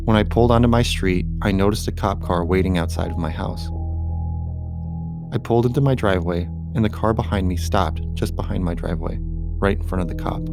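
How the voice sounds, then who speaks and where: Music plays in the background as a man speaks at a moderate pace in a very deep, low pitch with ordinary pitch variation. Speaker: horror story narrator. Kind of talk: horror story narration.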